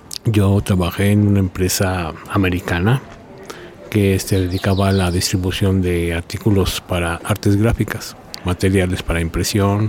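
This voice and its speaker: A man speaks at a fairly slow pace with a fairly low pitch. His intonation is fairly even, his loudness very even, and there is noticeable background noise. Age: 60s. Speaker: prison inmate. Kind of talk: interview. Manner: halting.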